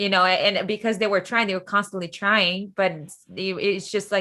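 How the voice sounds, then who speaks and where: A woman with a medium-pitched voice talks at a fairly quick pace. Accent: Brazilian Portuguese. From Brazil, Rio de Janeiro. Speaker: podcast guest, former international student. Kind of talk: casual conversation.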